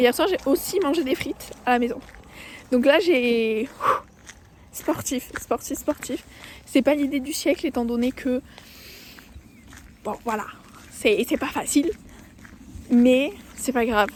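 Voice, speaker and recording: Soft-spoken and high-pitched, a woman talks at a very slow pace with long, frequent pauses. Her pitch varies in an ordinary way. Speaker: vlogger. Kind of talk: casual vlog. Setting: outdoors, walking. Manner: casual, filler-heavy.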